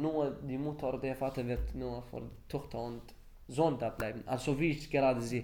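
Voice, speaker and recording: A man's medium-pitched voice, dark and mellow with vocal fry, at a moderate pace with fairly even intonation and audible room echo. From Iraq, Baghdad. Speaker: refugee. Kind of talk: interview testimony. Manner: halting.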